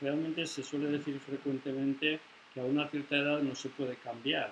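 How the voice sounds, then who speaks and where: Here a man speaks at a moderate pace with a fairly high pitch. His intonation stays monotone and flat. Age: 70s. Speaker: discussion group participant. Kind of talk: group discussion.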